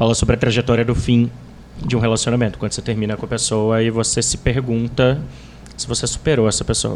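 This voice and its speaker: Over noticeable background noise, a man talks at medium pitch. His delivery is very fast and flat, in a monotone. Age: 20s. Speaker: writer on relationships. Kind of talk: casual chat.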